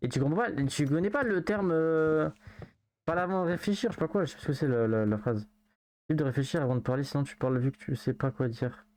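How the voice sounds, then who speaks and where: The words are mumbled. They come out at a very fast pace. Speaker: video game streamer. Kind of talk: live game stream chat. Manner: mumbles words.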